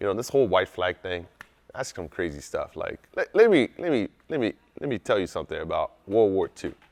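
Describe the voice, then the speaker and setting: Fairly quick in pace, a man's speech has a dry, close sound with no echo. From France, moved to US as a child. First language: French. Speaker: war veteran. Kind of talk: casual talk to camera. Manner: animated.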